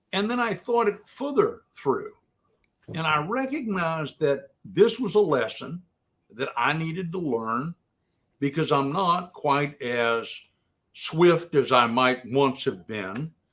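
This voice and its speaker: Delivery is very slow. The pitch swings very widely. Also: man, fairly high pitch for a man. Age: 70s. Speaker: lawyer and former police officer. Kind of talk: interview conversation. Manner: conversational, storytelling.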